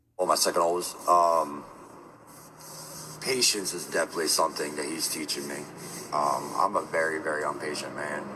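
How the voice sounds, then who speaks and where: Speaking with a New Jersey accent at a fairly quick pace, a man with a very deep, low pitch uses fairly even intonation and long, frequent pauses over noticeable background noise. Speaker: streamer. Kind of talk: live stream chat. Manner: loud.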